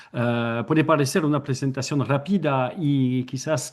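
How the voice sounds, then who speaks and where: A man talks with a fairly high pitch. His intonation stays fairly even. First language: French (speaking Spanish). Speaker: anthropology researcher. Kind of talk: academic presentation, partly read from notes. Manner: reading from notes.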